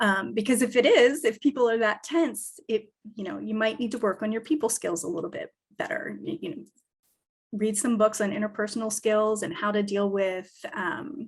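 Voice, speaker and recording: A woman with a fairly high, somewhat breathy voice speaks at a moderate pace with lively intonation. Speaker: business advisor. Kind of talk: lecture.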